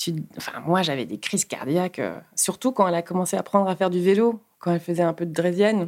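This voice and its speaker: Her voice fairly low in pitch, a woman speaks at a very fast pace with ordinary pitch variation. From Luxembourg, Peruvian family. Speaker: road safety activist. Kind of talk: interview. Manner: animated, with many hesitations.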